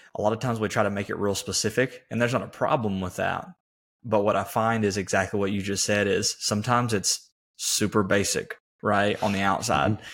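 A man's fairly low, ordinary speaking voice at a fairly quick pace, on a very clean recording with a silent background. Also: fairly even intonation. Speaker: podcast host. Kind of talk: casual interview chat.

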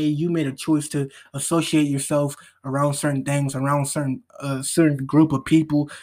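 On a very clean recording with a silent background, an unremarkable speaking voice talks at a fairly quick pace with fairly even intonation. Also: man. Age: 20s. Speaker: podcast host. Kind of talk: motivational monologue. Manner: casual, slangy.

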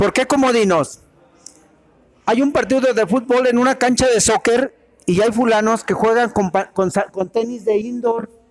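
Noticeable background noise sits behind a man whose pitch is extremely high for a man, talking at a fairly slow pace with very even loudness and ordinary pitch variation. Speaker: veteran football referee. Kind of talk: panel discussion.

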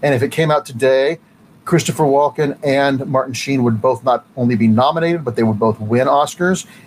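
Delivered in an American accent, the speech moves at a fairly quick pace with ordinary pitch variation and very even loudness. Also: man, medium pitch for a man. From Ohio, Cleveland area. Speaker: comic book writer and competitor. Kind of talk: casual interview.

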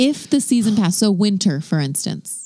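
With lively intonation, a woman talks in a dark, mellow tone with vocal fry. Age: 30s. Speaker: podcast co-host. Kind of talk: casual chat.

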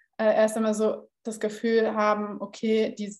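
The woman speaks at a medium pitch. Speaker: podcast host, content marketing consultant. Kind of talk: casual interview chat. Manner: raises voice oddly at the start.

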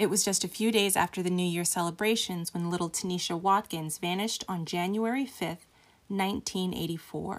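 The recording is very clean, with a silent background. A woman with an unremarkable speaking voice talks at a fairly quick pace with fairly even intonation. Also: medium pitch for a woman. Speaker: true crime podcast host. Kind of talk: true-crime narration. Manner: grave, measured, somber storytelling pace.

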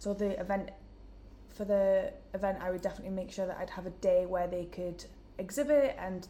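With a Geordie accent, a woman speaks at a moderate pace. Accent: Geordie, northern English. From Newcastle, northern England. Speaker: events student, marketing placement. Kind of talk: casual interview. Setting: in-person room recording.

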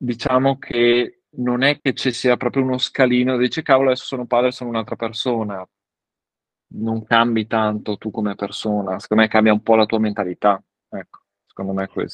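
Against a quiet background, a man speaks at a medium pitch and a fairly quick pace with fairly even intonation, in a dry, close sound with no echo. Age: 30s. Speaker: father and parenting social media creator. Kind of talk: casual chat. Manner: halting, with frequent repetitions.

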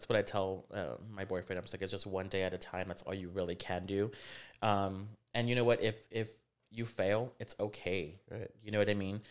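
A man with an American accent and a fairly low pitch speaks at a moderate pace with fairly even intonation in an ordinary speaking voice, captured in a very clean recording with a silent background. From Rio Grande Valley, South Texas. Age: 30s. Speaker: fashion designer. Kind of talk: casual interview chat.

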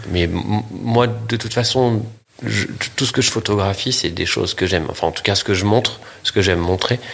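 Over noticeable background noise, a man speaks at a fairly low pitch and a moderate pace with ordinary pitch variation. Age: 40s. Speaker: photographer. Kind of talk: interview.

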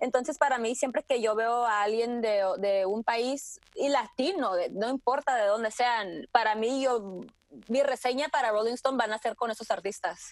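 A woman's fairly high voice unfolds at a fairly slow pace, with ordinary pitch variation. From Tijuana–San Diego border, Mexico. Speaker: music industry producer and curator. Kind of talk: interview. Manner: halting, many fillers and repetitions.

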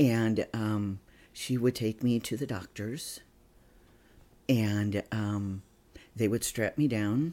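A man's medium-pitched, dark and mellow voice with an American accent, very slow, with long and frequent pauses and fairly even intonation. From US Midwest, northeast Indiana. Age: 50s. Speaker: therapist. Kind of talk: interview. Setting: at home.

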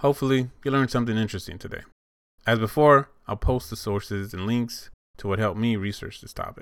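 A man's voice at medium pitch, fairly quick in pace, with ordinary pitch variation. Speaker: podcast host. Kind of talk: casual solo podcast monologue. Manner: rambling, conversational.

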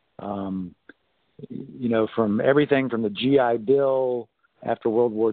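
With an American accent, a man talks in an ordinary speaking voice at medium pitch, using fairly even intonation and a moderate pace. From US South, North Carolina. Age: 50s. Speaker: pastor. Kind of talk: casual chat.

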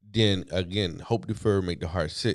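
In an unremarkable speaking voice, a man with an American accent talks at a moderate pace and a fairly low pitch, on a very clean recording with a silent background. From US East Coast. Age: 40s. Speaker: author and entrepreneur in recovery. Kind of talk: casual interview chat.

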